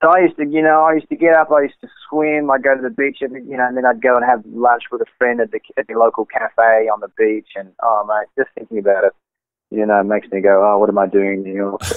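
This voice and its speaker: A man speaks very fast in an Australian accent. His pitch is medium, with ordinary variation. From Australia, Sydney. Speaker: jazz saxophonist. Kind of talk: casual interview.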